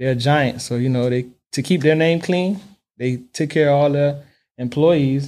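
A man with an American accent speaks at a moderate pace in a dark, mellow tone. His pitch is fairly high, and his intonation stays fairly even. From Miami, Florida. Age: 30s. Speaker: heavy haul trucker and mentor. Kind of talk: interview.

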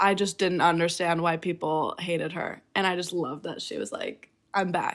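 A woman with an ordinary speaking voice talks at a moderate pace, fairly low in pitch with fairly even intonation. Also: very clean recording, silent background. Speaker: guest. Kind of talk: casual chat.

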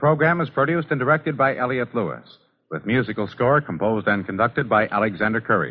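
A man at medium pitch talks at a fairly quick pace with lively intonation.

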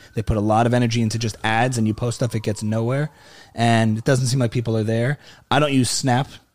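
Very fast speech in an American accent, with monotone, flat intonation. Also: man, medium pitch for a man, very clean recording, silent background. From New Jersey. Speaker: comedian and musician. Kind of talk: casual interview chat.

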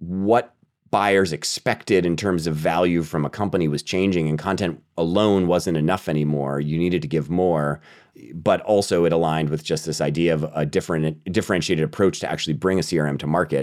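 A man's very deep, low-pitched voice, fairly quick, with normal pitch movement. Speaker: marketing executive. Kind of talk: interview. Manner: animated.

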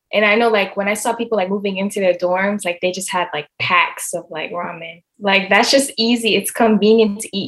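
This woman has an unremarkable speaking voice, medium in pitch, with fairly even intonation. She keeps a moderate pace and hardly pauses at all. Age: young. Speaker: college student interviewee. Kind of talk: interview answers. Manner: casual.

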